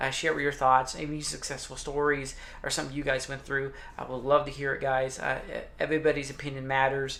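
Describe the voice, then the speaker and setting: Audible room echo surrounds a man speaking at a fairly quick pace. His fairly high voice stays monotone and flat. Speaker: motivational YouTuber. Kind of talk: casual vlog talk to camera. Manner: fast; halting with many fillers.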